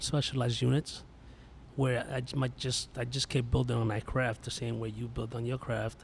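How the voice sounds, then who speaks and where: A somewhat breathy man with a New York accent. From New York (Yonkers). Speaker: police instructor, Marine veteran. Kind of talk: casual podcast chat.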